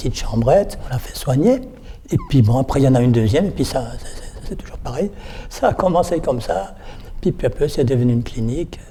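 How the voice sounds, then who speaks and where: A man rattles off his words very fast while noticeable background noise carries on behind him. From Alsace, France (Colmar). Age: 70s. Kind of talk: interview testimony. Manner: halting, repeats words.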